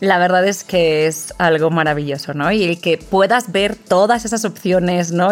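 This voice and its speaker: A woman is heard with noticeable background noise. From Spain, small town. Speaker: businesswoman in luxury tourism. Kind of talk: interview conversation.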